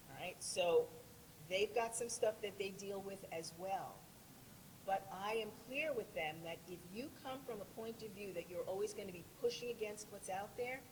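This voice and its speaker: A woman speaks at a moderate pace. Noticeable background noise runs beneath her voice. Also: medium pitch for a woman, ordinary pitch variation. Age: 60s. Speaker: author and personal coach. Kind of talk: panel discussion.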